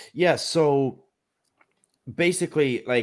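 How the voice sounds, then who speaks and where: A man talks with an Irish accent. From Ireland. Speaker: atheist social commentator. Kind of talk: debate discussion. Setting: live stream call. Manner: halting, many fillers and repeats.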